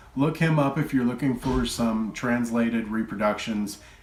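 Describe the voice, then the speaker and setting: Speaking at a moderate pace with an American accent, a man keeps a medium pitch and fairly even intonation in a room with audible echo. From Texas. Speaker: retro game collector YouTuber. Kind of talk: casual collection show-and-tell. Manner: relaxed, filler-heavy.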